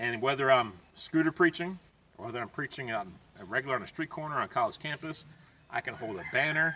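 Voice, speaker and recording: A man talks at a very fast pace in a medium pitch. Noticeable background noise runs behind him. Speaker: street preacher, evangelist. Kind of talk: casual talk to camera, gear tutorial.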